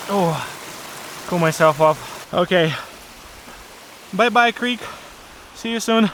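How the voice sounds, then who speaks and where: Speaking at a very slow pace with long, frequent pauses, a man uses a high-pitched voice with ordinary pitch variation over noticeable background noise. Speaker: travel vlogger. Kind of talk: vlog narration. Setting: outdoors. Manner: casual, mumbling to himself.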